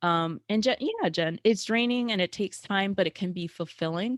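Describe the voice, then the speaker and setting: The intonation is lively, and the sound is dry and close with no echo. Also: woman. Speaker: networking coach. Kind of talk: live webinar presentation. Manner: loud.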